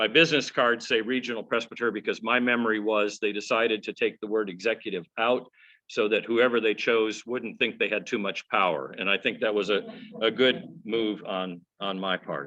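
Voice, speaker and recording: A man speaks at a moderate pace and medium pitch, with ordinary pitch variation and a bright, sharp tone. The background is quiet. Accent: American. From US South (Georgia, Atlanta area; early childhood Minnesota). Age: 60s. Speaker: regional presbyter, minister. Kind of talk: personal talk to congregation. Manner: conversational with many fillers.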